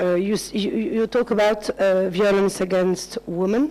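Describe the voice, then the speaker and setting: A woman speaks with a non-native accent at a medium pitch. Her intonation is fairly even. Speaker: conference delegate. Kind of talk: conference discussion. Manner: halting.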